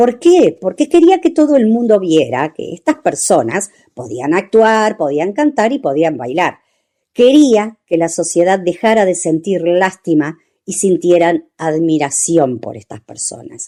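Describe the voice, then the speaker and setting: Her tone dark and mellow, a woman speaks at a fairly slow pace and medium pitch, with very wide pitch swings and big swings in loudness. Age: 60s. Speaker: radio host. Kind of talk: radio talk segment.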